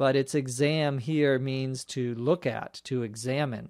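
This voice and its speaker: A man at a very slow pace, medium pitch, fairly even intonation, with a Minnesota accent, on a very clean recording with a silent background. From Minnesota, US. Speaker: English teacher, podcast host. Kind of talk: language lesson podcast. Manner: slow, clear explanatory.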